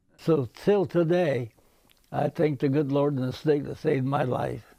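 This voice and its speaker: A man's fairly high, dark, mellow voice with an American accent, at a fairly slow pace with ordinary pitch variation. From Nebraska, Genoa area, US. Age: 80s+. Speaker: war veteran. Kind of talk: interview. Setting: outdoors.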